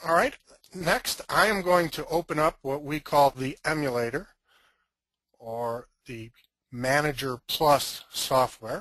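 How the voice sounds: A gravelly man speaks slowly with a fairly bright tone. His pitch is fairly high, with ordinary variation.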